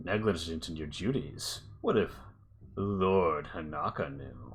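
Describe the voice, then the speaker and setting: A man growls in a put-on character voice. He speaks at a fairly slow pace with a very deep, low pitch. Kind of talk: imperious, commanding. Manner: snarling.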